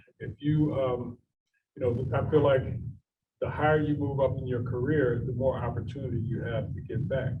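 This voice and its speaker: In a room with audible echo, a man with an American accent speaks at medium pitch and a moderate pace in a monotone, flat intonation. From Philadelphia. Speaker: business executive. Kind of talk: fireside chat Q&A.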